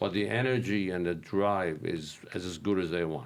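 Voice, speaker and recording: A man with a Persian accent and fairly low pitch, amid audible room echo. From Iran. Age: 60s. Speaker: real estate investor. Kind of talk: casual interview. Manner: halting, many fillers and repeats.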